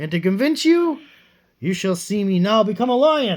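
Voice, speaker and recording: This put-on character voice sits fairly high, moves at a moderate pace and swings very widely in pitch. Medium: read story.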